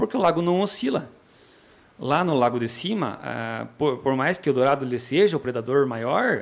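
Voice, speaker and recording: The man here speaks at a moderate pace with lively intonation. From Paraná, Brazil (Pinhão). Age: 30s. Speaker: sport fisherman and fishing guide. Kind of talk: podcast interview. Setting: studio.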